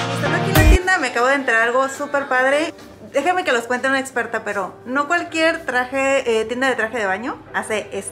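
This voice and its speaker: Clear music plays in the background as a woman talks at a fairly quick pace. Her high voice has lively intonation. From Mexico. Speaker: content creator. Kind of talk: casual vlog talk to camera. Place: shop. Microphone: phone near.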